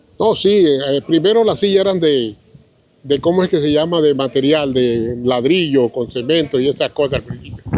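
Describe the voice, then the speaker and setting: Amid noticeable background noise, a man speaks at a moderate pace with a fairly high pitch and lively intonation. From Colombia, Caribbean coast (Riohacha, La Guajira). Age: 70s. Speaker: local elder sharing memories. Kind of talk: interview, reminiscing. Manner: halting, with repeated words.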